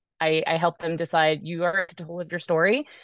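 At a moderate pace, a woman speaks in a normal speaking voice with fairly low pitch. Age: 40s. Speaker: life coach and author. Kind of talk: interview.

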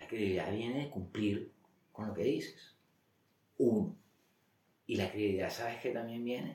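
A man speaks at a moderate pace and a medium pitch, sounding somewhat breathy. Long pauses come often. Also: ordinary pitch variation. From Colombia, Barranquilla (Caribbean coast). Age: 40s. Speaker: former finance executive. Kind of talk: interview. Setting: at the guest's home.

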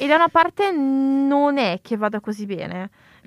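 Heard dry and close without any echo, a woman is talking. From Italy. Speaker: podcast co-host, university student. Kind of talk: casual chat.

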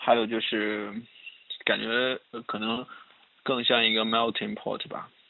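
A man's speech comes very slowly, broken by long, frequent pauses, with noticeable background noise around it. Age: 20s. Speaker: guest on chat podcast. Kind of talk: casual chat.

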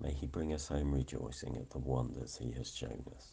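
Fairly slow speech in a dark, mellow tone with vocal fry. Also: man. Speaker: morning prayer leader. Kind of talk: fervent prayer, led devotional liturgy. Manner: earnest, fervent, heartfelt; measured, reverent, steady pace.

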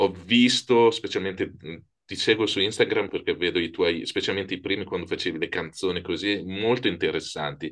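A man speaks at a moderate pace. Behind him, the background stays quiet. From Italy. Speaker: podcast host. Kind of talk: interview.

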